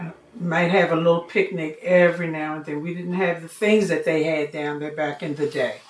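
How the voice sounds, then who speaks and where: Noticeable background noise accompanies a woman with an American accent who speaks at a moderate pace in a monotone, flat intonation. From Washington DC, Anacostia. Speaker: community elder. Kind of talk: oral history interview.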